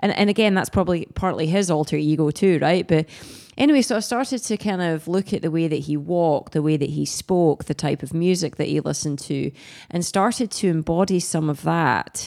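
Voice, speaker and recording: With a Scottish accent, a woman speaks in a fairly low pitch with a dark, mellow tone. Her pace is fairly quick, and her pitch varies in an ordinary way. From Scotland. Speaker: pro triathlete and coach. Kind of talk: casual interview chat.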